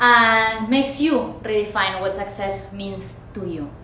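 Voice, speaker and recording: A woman with a Spanish accent, animated in tone and lively in intonation, amid noticeable background noise and audible room echo. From Argentina. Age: 30s. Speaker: podcast host. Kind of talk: personal monologue. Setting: recording in front of camera. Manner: halting.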